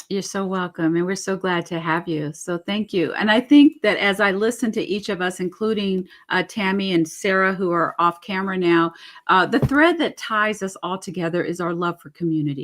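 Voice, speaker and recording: A woman with an unremarkable speaking voice at medium pitch, moderate pace and ordinary pitch variation. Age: 60s. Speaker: webinar host. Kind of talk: webinar panel moderation.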